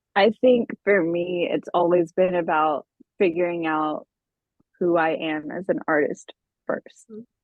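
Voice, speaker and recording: This woman has a normal speaking voice, pitched fairly low. She speaks at a fairly slow pace with ordinary pitch variation. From US, Austin Texas, Ethiopian immigrant family. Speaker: singer-songwriter. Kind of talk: interview. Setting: podcast interview. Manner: casual, many fillers and restarts.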